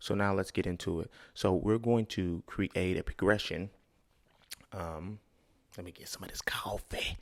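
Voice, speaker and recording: A man in a fairly low pitch with fairly even intonation, long, frequent pauses and big swings in loudness, on a very clean recording with a silent background. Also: moderate pace. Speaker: music producer and tutorial youtuber. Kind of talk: tutorial. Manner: casual, conversational.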